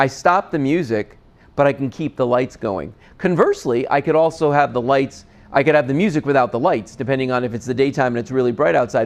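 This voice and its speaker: A man speaks in an animated tone. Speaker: TV shopping host. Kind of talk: sales pitch. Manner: loud.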